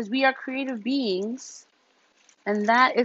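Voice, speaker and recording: A woman's high-pitched voice. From US, New York area; Nigerian American. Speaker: lifestyle vlogger. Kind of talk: casual unboxing vlog. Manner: casual, filler-heavy.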